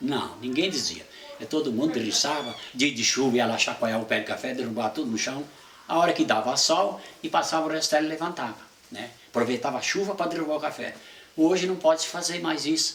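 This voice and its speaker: Noticeable background noise behind a man speaking fairly quickly in a fairly high voice, his pitch varying in an ordinary way. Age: 70s. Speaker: retired coffee farmer. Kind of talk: oral history interview. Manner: halting.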